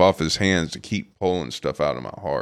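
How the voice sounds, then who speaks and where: A man with an American accent and vocal fry, recorded with a dry, close sound and no echo. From Los Angeles, US. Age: 40s. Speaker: photographer. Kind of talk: interview.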